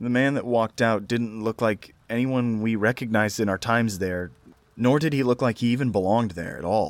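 A man with a normal speaking voice, medium pitch, ordinary pitch variation and a fairly quick pace, in dry, close sound with no echo on a very clean recording with a silent background. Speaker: horror story narrator. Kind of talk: scripted horror narration, reading aloud Reddit stories. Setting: solo recording for YouTube audio.

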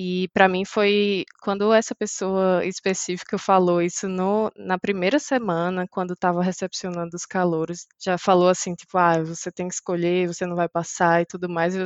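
Her intonation is monotone and flat. The woman speaks at a moderate pace and a medium pitch. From Brazil, Maceió, Alagoas. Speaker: software engineer. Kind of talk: interview.

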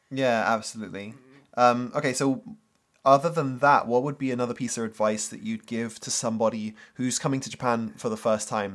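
This man's medium-pitched voice moves at a fairly quick pace with fairly even intonation. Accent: British. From UK. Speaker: marketer and former English teacher. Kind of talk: casual interview chat.

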